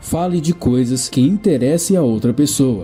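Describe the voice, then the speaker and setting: Over music in the background, a man speaks at a moderate pace with a fairly high pitch. His pitch swings very widely. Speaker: book summary narrator. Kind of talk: book summary narration.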